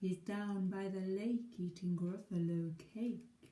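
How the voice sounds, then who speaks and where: A female-sounding voice, medium in pitch, delivers a put-on character voice. She speaks at a fairly slow pace. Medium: read story.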